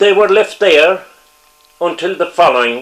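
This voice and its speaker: A man speaks very slowly with a Cork accent. His pitch is high and his intonation lively. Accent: Cork Irish. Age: 80s+. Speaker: retired politician. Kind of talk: interview. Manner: halting.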